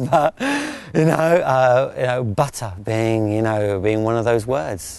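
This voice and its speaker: Against noticeable background noise, a man with a southern English accent speaks at a fairly slow pace and medium pitch with lively intonation. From southeast England. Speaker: parent of a deaf child. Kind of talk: interview. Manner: halting.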